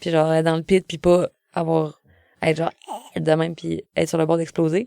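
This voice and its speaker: A woman's fairly low, dark, mellow voice with a Quebec accent, monotone and flat, at a fairly quick pace, in a dry, close sound with no echo. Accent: Québécois French. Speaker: singer-songwriter. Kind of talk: casual interview chat. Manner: hesitant, many fillers.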